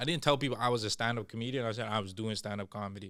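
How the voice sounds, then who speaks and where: Recorded very cleanly with a silent background, a man talks. His medium pitch has ordinary variation. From Toronto (Scarborough/East York), Canada. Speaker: stand-up comedian. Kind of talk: casual chat. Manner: animated.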